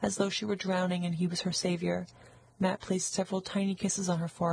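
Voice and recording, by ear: The text is read aloud in a natural voice.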